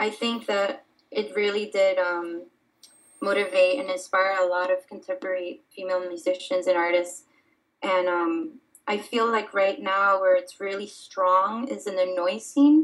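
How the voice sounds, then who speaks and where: Speaking in an ordinary speaking voice, a woman at medium pitch talks at a fairly slow pace with ordinary pitch variation. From Miami, Florida (born in Dominican Republic). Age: 20s. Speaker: artist. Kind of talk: casual interview.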